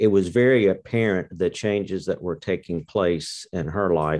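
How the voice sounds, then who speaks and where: Against a quiet background, a man with a Mississippi accent talks at a fairly slow pace. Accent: Southern US (Mississippi). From US South, Mississippi. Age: 60s. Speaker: course participant. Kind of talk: interview.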